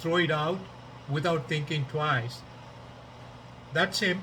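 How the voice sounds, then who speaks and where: Speaking at a fairly slow pace with a Tamil accent, a man uses a fairly high pitch, and audible room echo surrounds his voice. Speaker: podcaster, political commentator. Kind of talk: casual monologue. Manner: halting, many fillers.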